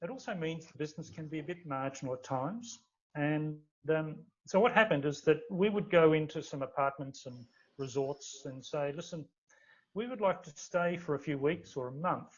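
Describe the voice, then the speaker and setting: Using an Australian accent, a man talks at a fairly high pitch with ordinary pitch variation and big swings in loudness. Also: moderate pace. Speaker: startup founder. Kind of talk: interview. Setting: podcast recording. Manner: halting, many fillers and repeats.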